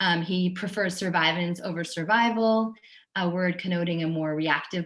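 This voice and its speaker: A woman speaks at a moderate pace in a normal speaking voice. Her pitch is fairly low and her intonation fairly even. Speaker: oral historian and author. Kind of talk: guest lecture. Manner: many filler ums.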